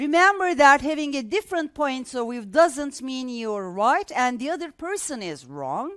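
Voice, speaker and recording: A woman with a Turkish accent, high-pitched and swinging very widely in pitch at a fairly slow pace, on a very clean recording with a silent background. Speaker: English teacher. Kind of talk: lecture. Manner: halting.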